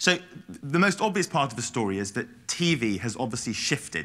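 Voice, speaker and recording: A man speaks with a British accent at a fairly quick pace, his tone bright and sharp. The recording is very clean, with a silent background. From England. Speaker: research consultant, conference speaker. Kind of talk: presentation. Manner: fast; occasional mumbling.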